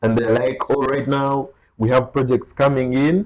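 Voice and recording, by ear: A man at a medium pitch, slightly mellow in tone, fairly even in intonation and moderate in pace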